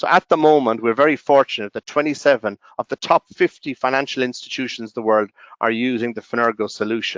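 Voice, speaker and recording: In an Irish accent, a man talks at a very fast pace, his medium pitch varying ordinarily, with a dry, close sound and no echo. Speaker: software company representative. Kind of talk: webinar presentation. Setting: online webinar. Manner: halting, many fillers and restarts.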